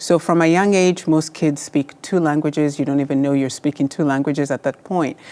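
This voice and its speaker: A woman with a Kenyan accent speaks at a fairly quick pace with hardly any pauses. Her very deep, low pitch and dark, mellow tone come with fairly even intonation and very even loudness. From Kenya, rural village. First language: Luo. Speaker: surgeon. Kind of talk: interview.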